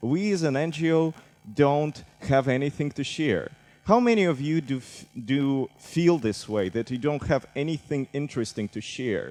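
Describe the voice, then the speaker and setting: A man with a fairly high pitch and a Russian accent, at a moderate pace with lively intonation, music in the background. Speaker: civic tech director. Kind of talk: conference talk.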